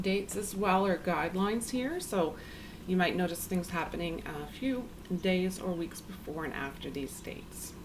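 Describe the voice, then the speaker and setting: A woman speaks quietly at a medium pitch and a moderate pace, her calm tone showing ordinary pitch variation. Audible room echo and noticeable background noise are present. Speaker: tarot reader. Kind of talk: tarot reading. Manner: quiet, low volume; calm, hesitant with filler ums.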